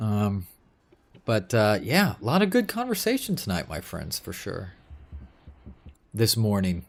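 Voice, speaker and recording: Mumbling at a fairly slow pace, a man leaves long, frequent pauses. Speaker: gaming live streamer. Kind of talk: casual live stream chat. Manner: halting.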